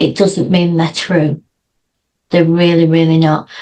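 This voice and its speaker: A woman with a British accent has a fairly low voice and a dark, mellow tone. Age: 60s. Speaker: founder of a water safety social enterprise. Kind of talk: interview.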